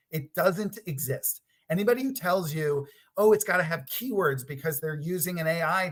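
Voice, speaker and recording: A man speaks at a high pitch and a moderate pace. His intonation is lively. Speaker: product designer giving a conference talk. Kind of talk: presentation.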